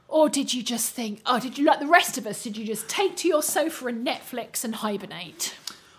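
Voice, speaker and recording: Over noticeable background noise, a woman talks fast at a high pitch with lively intonation, big swings in loudness, and hardly any pauses. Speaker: theatre critic interviewer. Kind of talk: interview.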